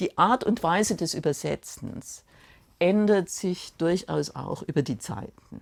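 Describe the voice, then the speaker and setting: Very slowly, a woman speaks with vocal fry at a fairly low pitch, with ordinary pitch variation. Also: very clean recording, silent background. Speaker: literary translator from Russian. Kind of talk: documentary interview answer.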